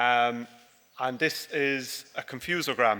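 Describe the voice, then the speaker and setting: Bright and sharp in tone, a man speaks with an Irish accent at a medium pitch. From Ireland. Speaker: dairy farmer. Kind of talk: conference presentation. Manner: halting, many fillers.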